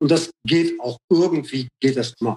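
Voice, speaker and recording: Heard in a dry, close sound with no echo, a man with a high pitch uses ordinary pitch variation. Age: 40s. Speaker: rapper and radio host. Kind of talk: casual interview chat.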